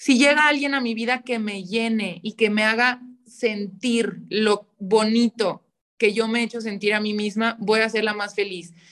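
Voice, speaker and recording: A woman speaks at a fairly slow pace with fairly even intonation and a fairly high pitch. She has a plain, everyday voice. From Mexico, León, Guanajuato. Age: 20s. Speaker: podcast guest. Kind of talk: casual chat.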